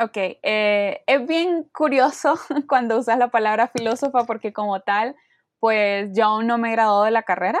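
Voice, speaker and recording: Recorded dry and close with no echo against a quiet background, a woman speaks at a fairly slow pace with a fairly high pitch and ordinary pitch variation. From Honduras. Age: 20s. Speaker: philosophy student and activist. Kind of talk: casual interview.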